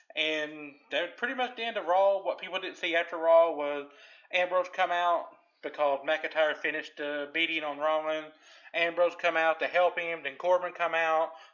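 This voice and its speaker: Fairly even in intonation, a man speaks at a moderate pace with a high pitch. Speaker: wrestling podcast host. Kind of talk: casual chat.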